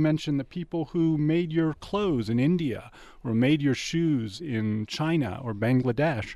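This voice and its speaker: With an American accent and a dark, mellow tone, a man speaks at a moderate pace and a fairly high pitch with lively intonation against a quiet background. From Washington, D.C. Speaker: philosophy professor and department head. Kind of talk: academic talk in interview.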